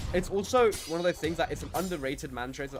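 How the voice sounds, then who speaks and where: A man with a London accent talks at a very fast pace in an animated tone, with music playing in the background. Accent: British (London multicultural). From UK. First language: Turkish. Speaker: gaming streamer. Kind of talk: live gameplay stream chat. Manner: casual, animated.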